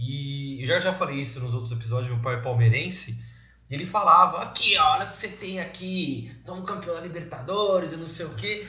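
A man speaks at a fairly quick pace with a high pitch and lively intonation. Audible room echo and noticeable background noise surround him. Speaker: podcast host. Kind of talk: casual chat; sponsorship appeal.

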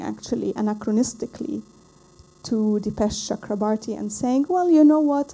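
A woman speaks in an Arabic accent. Her pace is moderate and her intonation lively. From Lebanon. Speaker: visual and performance artist. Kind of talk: artist talk / lecture with film clips. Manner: halting, searching for English words.

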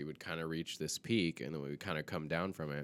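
A man talks at a very fast pace with an American accent and a very deep, low pitch. The recording is very clean with a silent background. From US South. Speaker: filmmaker. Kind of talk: casual chat.

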